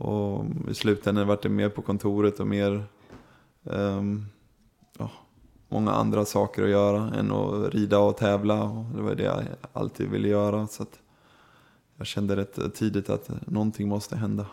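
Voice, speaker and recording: Long, frequent pauses fill a man's speech. Between them, his pace is moderate. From Sweden. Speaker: show jumper. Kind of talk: interview. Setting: horse show.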